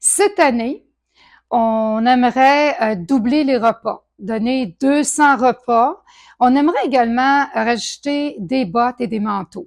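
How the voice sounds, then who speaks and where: A woman speaks at a very slow pace with a high pitch and lively intonation. The recording is very clean, with a silent background. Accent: Quebec. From Quebec, Saguenay. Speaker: charity co-founder. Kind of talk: testimony. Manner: halting.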